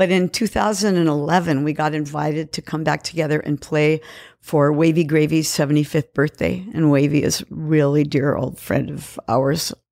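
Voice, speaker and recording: Recorded very cleanly against a silent background, with a dry, close sound and no echo, a woman with a Californian accent and a very deep, low pitch speaks at a moderate pace with fairly even intonation and hardly any pauses. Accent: general American, Californian. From San Francisco Bay Area. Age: 70s. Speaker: musician and band member. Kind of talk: casual interview.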